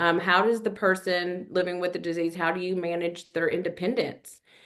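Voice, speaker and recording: A woman with a Kentucky accent talks at a moderate pace with a fairly low pitch. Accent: Kentucky twang. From Kentucky (Richmond). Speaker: nonprofit program director. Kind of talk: webinar presentation. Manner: conversational, with frequent fillers.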